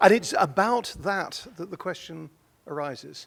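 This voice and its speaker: Lively intonation with a British accent. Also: man. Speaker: journal editor, audience member asking question. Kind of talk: audience question at conference. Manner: hesitant, many ums.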